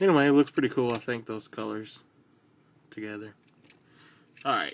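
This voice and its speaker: A man in a relaxed tone with a Southern US accent and ordinary pitch variation, over light background noise. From US South. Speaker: toy car customizer. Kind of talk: casual video tutorial. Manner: relaxed, rambling with fillers. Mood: relaxed, enthusiastic. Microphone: phone near.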